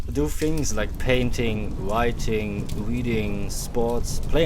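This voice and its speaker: Noticeable background noise is present. A man talks at a very slow pace. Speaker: podcast host / relaxation talk host. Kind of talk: calm late-night talk about healing, ASMR-style. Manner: gentle, soothing, calm.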